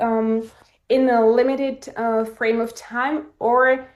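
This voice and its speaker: This woman has a high pitch and a non-native accent. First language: not English. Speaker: coaching program participant. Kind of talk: live coaching session. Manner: halting.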